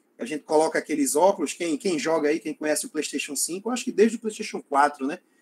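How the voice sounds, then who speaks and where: Lively intonation and a very fast pace from a male speaker. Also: dry, close sound with no echo. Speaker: lecturer on environmental education technology. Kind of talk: online lecture. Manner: halting, many fillers.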